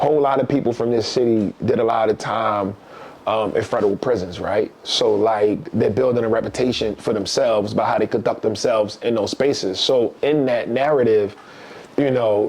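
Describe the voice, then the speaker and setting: A man with a Baltimore accent and medium pitch keeps his loudness very even over noticeable background noise. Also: moderate pace. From East Baltimore, Maryland. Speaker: author and professor. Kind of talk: casual interview chat. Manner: animated storytelling.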